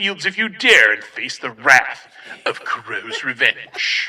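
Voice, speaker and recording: A man's put-on character voice, menacing and theatrical in tone, at a very slow pace. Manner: menacing, theatrical.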